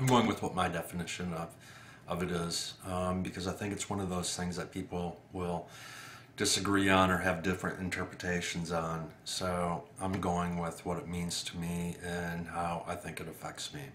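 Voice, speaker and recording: A man talks in a very deep, low voice with a relaxed tone and monotone, flat intonation, with audible room echo. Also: moderate pace. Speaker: vlogger with a mental health condition. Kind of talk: casual vlog monologue. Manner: relaxed, slightly slurred; hesitant, many fillers.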